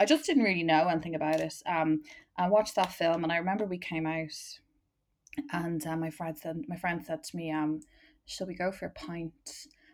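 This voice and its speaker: A woman's fairly low voice with a Dublin accent, at a moderate pace and with fairly even intonation. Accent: Dublin Irish. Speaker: marketing manager and LGBT activist. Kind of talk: casual chat. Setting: video call.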